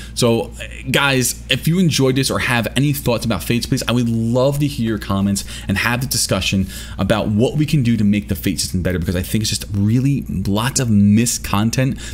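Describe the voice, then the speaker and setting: Noticeable background noise sits behind a man speaking at a fairly quick pace. His pitch is fairly low and his intonation lively. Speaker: gaming youtuber. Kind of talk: video commentary. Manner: fast; hesitant, many fillers.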